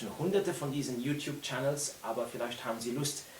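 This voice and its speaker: Speaking at a fairly quick pace, a man talks in a Luxembourgish accent. Audible room echo and noticeable background noise surround him. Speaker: orchestral trumpet player and teacher. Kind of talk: unedited casual video talk. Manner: hesitant, many fillers.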